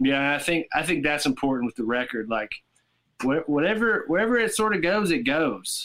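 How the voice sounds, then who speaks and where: A man with a Southern US accent and a fairly high pitch, bright, sharp tone, very wide pitch swings and very even loudness, at a moderate pace, in a very clean recording with a silent background. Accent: Southern American. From US South, Tennessee. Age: 30s. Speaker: rock guitarist. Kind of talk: casual chat.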